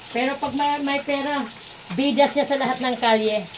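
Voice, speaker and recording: Over noticeable background noise, a woman speaks at a fairly slow pace. Her pitch is high. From Manila, Philippines. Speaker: cooking vlogger. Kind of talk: casual vlog chat. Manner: animated.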